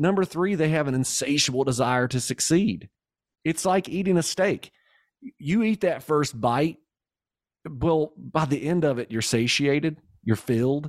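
A man's fairly high voice with a Kentucky accent, lively intonation and long, frequent pauses, in a dry, close sound with no echo on a very clean recording with a silent background. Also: moderate pace, very even loudness. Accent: Southern US (Kentucky). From Kentucky, US South. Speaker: entrepreneur and business coach. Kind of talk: casual interview.

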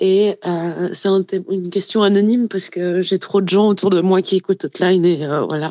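The tone is dark and mellow, with fairly even intonation at a moderate pace. The sound is dry and close with no echo. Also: woman, medium pitch for a woman. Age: 30s. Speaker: listener leaving voice message. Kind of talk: voice message.

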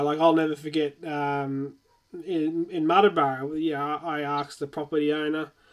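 A man with an Australian accent speaks at a moderate pace in a fairly high pitch. His intonation stays flat and monotone. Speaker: podcast host. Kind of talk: casual interview chat. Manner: filler-heavy, stumbling.

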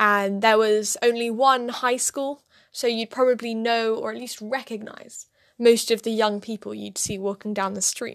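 A woman with a British accent speaks at a moderate pace in a fairly high pitch, her intonation flat and monotone. Her loudness swings widely against a quiet background. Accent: quite British. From London, England. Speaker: podcast co-host. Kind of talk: casual chat.

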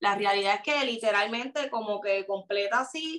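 A woman speaks fairly slowly in a Puerto Rican accent, her pitch fairly high. Her pitch varies in an ordinary way. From Puerto Rico. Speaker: social media personality. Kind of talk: interview.

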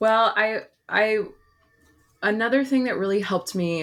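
In a normal speaking voice, a woman with an American accent talks at a fairly slow pace with ordinary pitch variation, on a very clean recording with a silent background. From Oregon, Portland area. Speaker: former Spanish teacher, education presenter. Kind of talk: casual interview chat.

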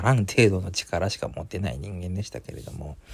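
A man speaks in a somewhat breathy voice. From Hokkaido, Japan. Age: 30s. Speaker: podcast host. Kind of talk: casual monologue.

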